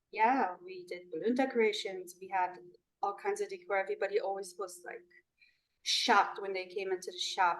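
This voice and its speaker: A woman with a Polish accent, medium pitch, ordinary pitch variation and a moderate pace. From Poland. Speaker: balloon artist and business owner. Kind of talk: interview. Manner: halting, with fillers.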